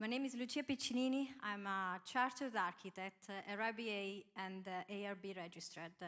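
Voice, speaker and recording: Bright and sharp in tone, a woman with an Italian accent speaks at a moderate pace and a fairly high pitch with lively intonation. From Italy. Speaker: architect. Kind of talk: panel self-introduction. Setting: stage with live audience. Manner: halting.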